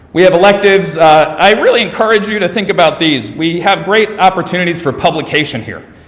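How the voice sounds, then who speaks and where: A man's high-pitched voice at a fairly quick pace, ordinary pitch variation, noticeable background noise. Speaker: school administrator presenting English department. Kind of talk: presentation to parents. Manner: fast.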